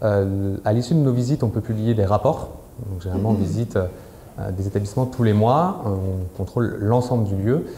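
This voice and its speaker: Somewhat breathy, fairly low male voice, dark and mellow in tone, with audible room echo. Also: ordinary pitch variation. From France. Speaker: prison inspector, lawyer. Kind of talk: conference talk. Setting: conference hall with audience. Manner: fast.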